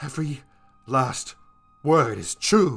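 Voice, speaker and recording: In a put-on character voice, a man speaks at a medium pitch, raspy and shaky, swinging very widely in pitch while music plays in the background. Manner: insisting, strained.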